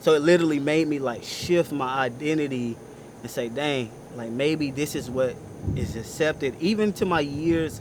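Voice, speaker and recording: There is noticeable background noise in this clip. A man speaks at a moderate pace in a fairly high pitch with ordinary pitch variation. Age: 20s. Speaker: pastor. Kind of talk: testimony. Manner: loud.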